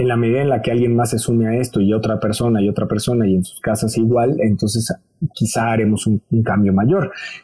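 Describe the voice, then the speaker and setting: Speaking at a fairly quick pace, a man with a Mexican accent uses a medium pitch and fairly even intonation. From Mexico. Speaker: TV presenter and fashion educator. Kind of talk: interview.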